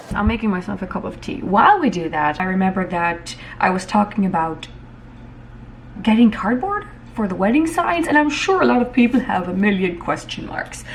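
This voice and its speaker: Her pitch swinging very widely, a woman speaks at a fairly quick pace. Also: medium pitch for a woman. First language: Hutterite German. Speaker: vlogger. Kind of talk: casual vlog narration. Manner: casual, occasionally halting.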